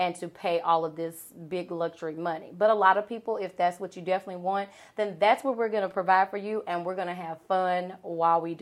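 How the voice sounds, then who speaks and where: Speaking at a fairly quick pace with hardly any pauses, a woman with a Southern US accent uses a medium pitch and fairly even intonation, her loudness swinging widely on a very clean recording with a silent background. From US South, Arkansas. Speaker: event planner and business owner. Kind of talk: podcast interview.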